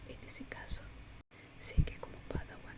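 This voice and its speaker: The whispering moves at a fairly slow pace. Noticeable background noise sits beneath it. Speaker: audiobook narrator. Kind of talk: whispered audiobook reading. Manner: soft, relaxing.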